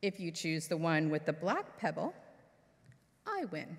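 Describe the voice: Using a put-on character voice, a woman speaks fairly slowly at a low pitch with big pitch swings.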